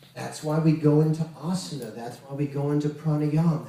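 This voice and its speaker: Audible room echo and noticeable background noise fill the recording. Through them, a man speaks fairly quickly in a fairly high voice. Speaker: Kundalini yoga teacher. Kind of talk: spiritual lecture.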